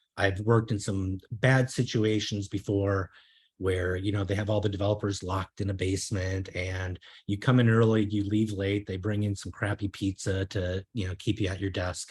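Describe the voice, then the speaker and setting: A somewhat breathy man's voice with a slight Minnesota accent, fairly low in pitch and monotone, flat in intonation, at a moderate pace on a very clean recording with a silent background. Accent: slight Minnesota accent, long O's. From Minnesota, US. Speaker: software consultant and coach. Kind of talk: meetup talk. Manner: hesitant, many fillers.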